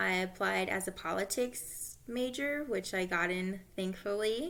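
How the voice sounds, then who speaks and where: With an American accent, a woman speaks in a bright, sharp tone with ordinary pitch variation. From Southern California. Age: 20s. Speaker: graduate student. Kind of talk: self-introduction. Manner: casual, some hesitations.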